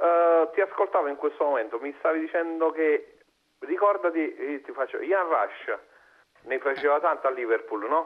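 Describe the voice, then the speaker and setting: Against a quiet background, a man with a fairly high voice and a Neapolitan accent speaks at a moderate pace with ordinary pitch variation. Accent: Neapolitan Italian. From Italy. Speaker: caller, football fan; caller. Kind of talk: casual chat. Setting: phone call. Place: studio. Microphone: lapel.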